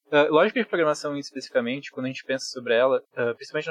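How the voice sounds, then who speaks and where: The recording is dry and close with no echo, carrying a man's fairly high-pitched voice. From Rio Grande do Sul, Brazil (Bento Gonçalves). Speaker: programmer. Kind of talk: casual chat.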